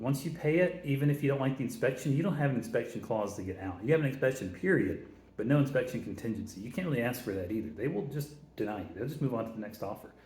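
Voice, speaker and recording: Somewhat breathy and fairly high in pitch, a man talks at a very fast pace with lively intonation and audible room echo. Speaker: real estate investor. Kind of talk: tutorial. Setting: office, big concrete room. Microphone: echo in a bare room.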